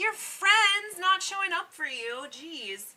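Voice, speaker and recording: The woman's voice is raised and projected. Its tone comes across bright and sharp. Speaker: video game streamer. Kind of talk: casual chat with live chat. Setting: live stream. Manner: loud projected voice.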